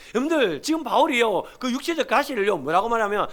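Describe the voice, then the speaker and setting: This man's pitch is extremely high, and he talks at a fairly quick pace. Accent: Gyeongsang. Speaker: pastor. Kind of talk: sermon. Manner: animated.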